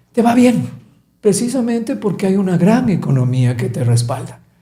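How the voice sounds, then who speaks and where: A man's dark, mellow tone with very wide pitch swings and audible room echo. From Ecuador, Quito. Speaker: business coach. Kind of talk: podcast interview.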